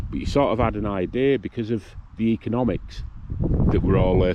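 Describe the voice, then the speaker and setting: Talking at a fairly quick pace, a man with a northern English accent has a fairly low pitch. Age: 60s. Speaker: vlogger. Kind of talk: casual monologue. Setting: outdoors.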